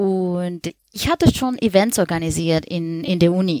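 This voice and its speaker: With a Spanish accent and lively intonation, the speaker goes at a very slow pace in a dry, close sound with no echo. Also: woman. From Colombia. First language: Spanish (speaking German). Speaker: freelance web designer. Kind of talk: casual chat.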